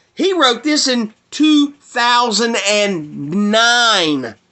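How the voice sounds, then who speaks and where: A man with a Southern US accent. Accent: Southern American. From US South. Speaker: video blogger. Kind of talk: monologue rant. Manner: animated.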